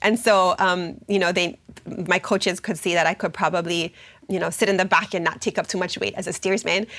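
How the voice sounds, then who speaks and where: Fairly quick speech from a woman at a medium pitch. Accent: Hawaiian. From Hawaii, Oahu. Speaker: university program officer and educator. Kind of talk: interview. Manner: hesitant, many fillers.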